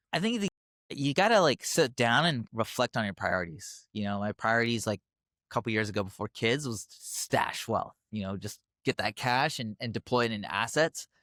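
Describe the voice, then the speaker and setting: It is an ordinary speaking voice: a man with a medium pitch and lively intonation, talking at a moderate pace. The sound is dry and close, with no echo. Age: 30s. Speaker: physician turned car wash owner. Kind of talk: casual interview.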